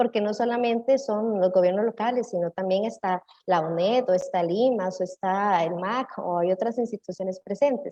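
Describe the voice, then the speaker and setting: Her pitch varies in an ordinary way, and her pace is moderate. This woman has an unremarkable speaking voice. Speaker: municipal cultural manager. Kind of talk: panel discussion.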